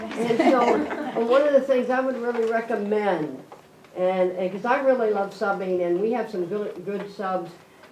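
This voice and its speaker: A woman speaks at a moderate pace with lively intonation. The recording has audible room echo and noticeable background noise. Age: 70s. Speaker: substitute teacher. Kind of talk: public meeting remarks. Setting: school board meeting.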